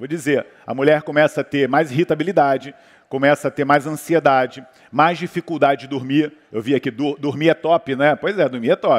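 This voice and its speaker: The speaker, in a Brazilian accent, goes at a fairly quick pace with fairly even intonation and big swings in loudness. The sound is dry and close, with no echo. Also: man, fairly high pitch for a man. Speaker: orthomolecular medicine doctor. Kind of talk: panel talk on health.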